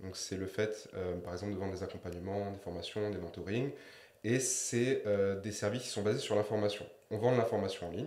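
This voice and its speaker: Speech comes at a fairly quick pace with fairly even intonation. Audible room echo surrounds it. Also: man, fairly low pitch for a man. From southern France, Marseille. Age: 20s. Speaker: digital marketing entrepreneur. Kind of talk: interview. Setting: podcast studio.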